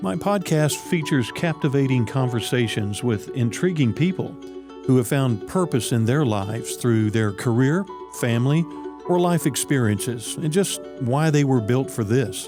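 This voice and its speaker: Over music in the background, a man at medium pitch talks at a moderate pace, his pitch swinging very widely while his loudness stays very even. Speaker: podcast host. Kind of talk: scripted podcast intro.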